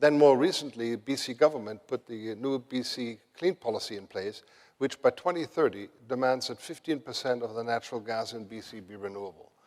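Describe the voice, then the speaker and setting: Speaking with a German accent, a man keeps a medium pitch and a fairly quick pace. His pitch varies in an ordinary way while his loudness swings widely. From Germany. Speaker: renewable energy executive. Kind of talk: conference panel talk.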